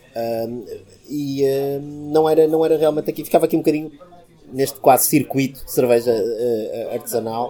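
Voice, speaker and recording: With music in the background, a man speaks at a fairly quick pace and a fairly high pitch, using fairly even intonation and long, frequent pauses. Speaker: craft beer figure. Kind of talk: interview. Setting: bar. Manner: hesitant, many fillers.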